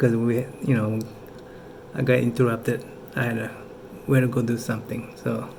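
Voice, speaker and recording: At a fairly quick pace, a man with a medium-pitched voice talks in a flat monotone, with long and frequent pauses, noticeable background noise and audible room echo. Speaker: political commentator vlogger. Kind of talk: casual commentary. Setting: indoors at home at night, kids asleep. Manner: casual, halting with fillers.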